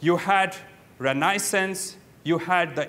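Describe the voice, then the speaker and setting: Bright and sharp in tone, a man's high voice moves with ordinary pitch variation. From India. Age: 40s. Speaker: investment advisor and speaker; speaker. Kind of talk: conference talk. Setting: stage with audience. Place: hall.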